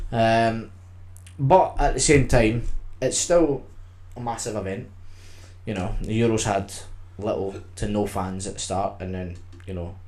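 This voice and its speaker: Someone with a Scottish accent talks at a fairly slow pace, taking long, frequent pauses, with audible room echo. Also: man, fairly low pitch for a man, ordinary pitch variation. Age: 20s. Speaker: podcast co-host. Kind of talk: casual chat.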